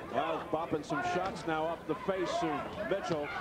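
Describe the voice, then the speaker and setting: There is loud background noise behind this man's voice. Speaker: boxing commentator. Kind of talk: live commentary.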